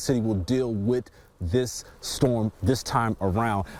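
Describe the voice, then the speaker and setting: With a normal speaking voice, a man talks at medium pitch and ordinary pitch variation. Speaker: TV news reporter. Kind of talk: TV news field report.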